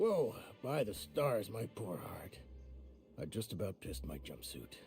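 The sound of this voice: Over faint background music, a man uses a put-on character voice, fairly low in pitch with big pitch swings, vocal fry, a slightly mellow tone and a fairly slow pace.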